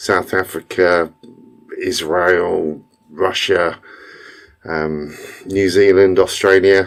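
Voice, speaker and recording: A very deep, low, monotone man's voice with a British accent, very slow, with long and frequent pauses. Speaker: car tuner. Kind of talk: live Q&A stream. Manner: hesitant, many fillers.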